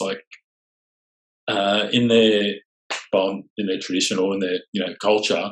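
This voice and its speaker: In an Australian accent, a man talks at a moderate pace with monotone, flat intonation and a fairly low pitch. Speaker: sailing tour company owner. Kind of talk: podcast interview. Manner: casual, filler-heavy.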